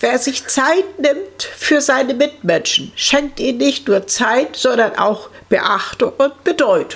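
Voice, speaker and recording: A woman speaks very slowly in a high voice with lively intonation and very even loudness. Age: 60s. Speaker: patient and self-help group leader, former care nurse. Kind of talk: interview, personal testimony.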